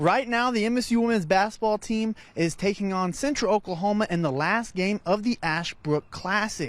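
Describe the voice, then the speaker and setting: A man speaks at a high pitch. He leaves hardly any pauses. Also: ordinary pitch variation, moderate pace, very even loudness. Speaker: sports reporter. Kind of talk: sports anchor read.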